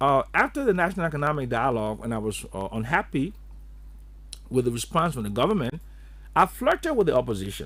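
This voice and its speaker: A man talks at a very fast pace but breaks it with long, frequent pauses. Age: 70s. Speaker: economist. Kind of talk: radio interview.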